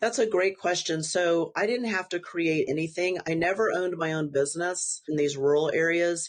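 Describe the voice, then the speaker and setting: A woman with a normal speaking voice and fairly low pitch speaks at a moderate pace with hardly any pauses, ordinary pitch variation and very even loudness. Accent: American. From Texas. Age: 50s. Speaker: family physician. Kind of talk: interview.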